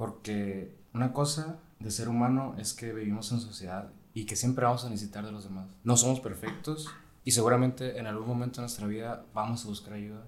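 Audible room echo surrounds a man talking. He moves at a fairly quick pace with ordinary pitch variation. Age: 20s. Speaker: medical student. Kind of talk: casual chat.

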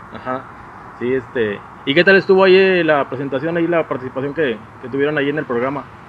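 Amid noticeable background noise, a man with a fairly high voice talks very fast with ordinary pitch variation. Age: 40s. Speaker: podcast host. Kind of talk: casual interview chat. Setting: home recording with camera.

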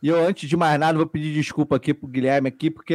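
Here is a man with an ordinary speaking voice, pitched fairly high. The recording is very clean, with a silent background. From Brazil, Petrópolis (Rio de Janeiro state). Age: 40s. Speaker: podcast guest, TV worker. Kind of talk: casual chat.

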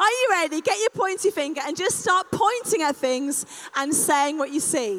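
A woman speaks at a moderate pace in an extremely high voice, her pitch swinging very widely. Her tone is animated, and there is noticeable noise in the background. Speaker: speaker leading a live audience exercise. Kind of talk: live interactive talk.

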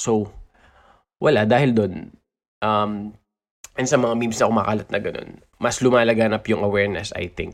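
With a Filipino accent, a man talks in an animated tone at a fairly quick pace and medium pitch, leaving long, frequent pauses. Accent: Filipino English, Taglish. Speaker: podcast host. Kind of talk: casual chat, interview. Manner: animated, excitable.

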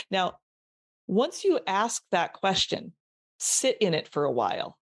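A woman's voice comes through with a dry, close sound, no echo, and a quiet background. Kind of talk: motivational pep talk. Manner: emphatic, rhythmic and repetitive, rallying the listener with direct challenges.

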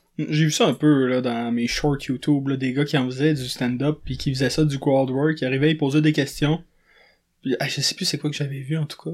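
A man's normal speaking voice, fairly high in pitch, with fairly even intonation at a moderate pace, on a very clean recording with a silent background. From Quebec, Montreal south shore. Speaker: podcast host. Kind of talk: casual chat.

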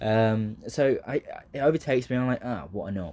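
In a southern English accent, a man speaks at a moderate pace with a medium pitch and lively intonation. His tone is dark and mellow against a quiet background. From southeast England. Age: 20s. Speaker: aspiring comedian and acting student. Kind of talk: casual solo monologue. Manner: hesitant, many fillers.

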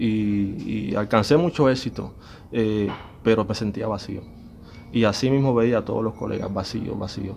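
A man's unremarkable speaking voice, fairly low in pitch, at a fairly slow pace. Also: ordinary pitch variation. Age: 40s. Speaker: musician. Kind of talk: testimony.

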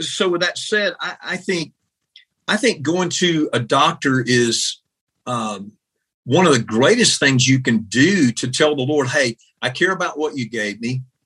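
Bright, sharp tone with lively intonation at a fairly slow pace. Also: man, fairly high pitch for a man. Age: 60s. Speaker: pastor. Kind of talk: interview.

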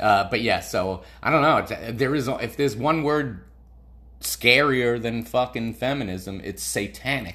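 Vocal fry marks this man's medium-pitched voice, which has a bright, sharp tone. He speaks at a fairly slow pace. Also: ordinary pitch variation. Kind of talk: stand-up comedy storytelling.

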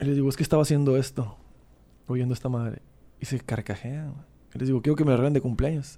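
A man's medium-pitched voice, dark and mellow, at a very fast pace with fairly even intonation and long, frequent pauses, on a very clean recording with a silent background. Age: 30s. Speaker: musician and record label owner. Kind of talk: casual chat.

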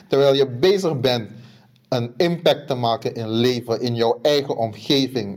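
A man with a Surinamese accent speaks at a fairly slow pace, with medium pitch and lively intonation. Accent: Surinamese Dutch. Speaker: podcast co-host. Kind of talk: casual chat.

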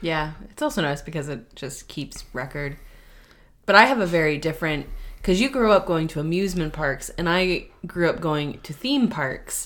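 Speaking with an American accent at a moderate pace, a woman with an ordinary speaking voice uses lively intonation at a fairly low pitch. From US West Coast. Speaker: podcast co-host and former theme park cast member. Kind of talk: casual chat.

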